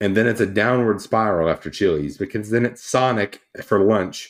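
Recorded very cleanly against a silent background, a man with a normal speaking voice talks at a moderate pace and medium pitch. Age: 20s. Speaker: podcast co-host. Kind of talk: casual chat.

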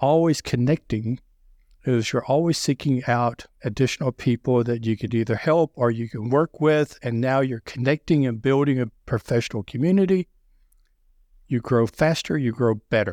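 In a very clean recording with a silent background and a dry, close sound with no echo, a man with a strong Southern US accent talks at a moderate pace with ordinary pitch variation. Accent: deep Southern US. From US South. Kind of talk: interview about sales.

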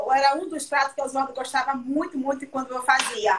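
A woman's high-pitched voice at a moderate pace, against noticeable background noise. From Brazil, southern Bahia. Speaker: chef. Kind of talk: cooking live stream chat. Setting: video call.

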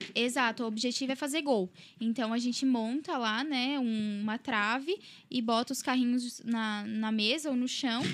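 A woman with a high voice speaks at a fairly slow pace, her intonation fairly even and her loudness very even, on a very clean recording with a silent background. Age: 20s. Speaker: robotics school sales and finance staff. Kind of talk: radio interview.

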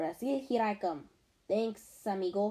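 A put-on character voice that sounds female, pitched in the middle range for a woman. She talks at a moderate pace with a hissing quality. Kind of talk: casual, jaunty.

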